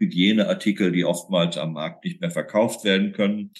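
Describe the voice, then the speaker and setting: A man talks with fairly even intonation. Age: 60s. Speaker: food bank chairman. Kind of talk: interview.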